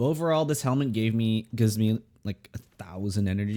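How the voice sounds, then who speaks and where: With a dark, mellow tone and fairly low pitch, a man talks with ordinary pitch variation on a very clean recording with a silent background. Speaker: gaming streamer and VTuber. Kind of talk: gameplay build commentary. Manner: fast.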